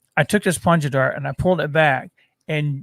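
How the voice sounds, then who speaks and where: With an American accent and fairly even intonation, a man talks in an ordinary speaking voice, the sound dry and close with no echo. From southern Missouri (Poplar Bluff). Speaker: podcast co-host. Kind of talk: casual chat. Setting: studio.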